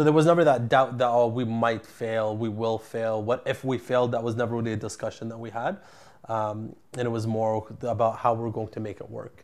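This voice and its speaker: A man with a Canadian accent in an ordinary speaking voice, at a fairly quick pace, against a quiet background. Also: medium pitch for a man, fairly even intonation. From Ottawa, Canada. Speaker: entrepreneur, construction company CEO. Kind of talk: interview.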